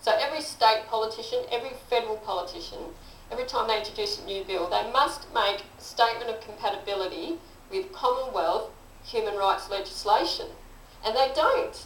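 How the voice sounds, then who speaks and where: Over light background noise and audible room echo, a woman talks at a fairly quick pace with a fairly high pitch and lively intonation. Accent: Australian. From Australia. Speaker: political candidate and teacher; candidate, teacher. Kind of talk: interview. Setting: studio. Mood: aggrieved, earnest. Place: studio. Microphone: lapel.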